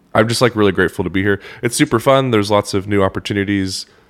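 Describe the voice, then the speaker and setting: In a very clean recording with a silent background, a man speaks with an American accent in an unremarkable speaking voice. His pitch is fairly low and his intonation fairly even. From Oklahoma. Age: 20s. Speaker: loan officer and musician. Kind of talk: casual chat.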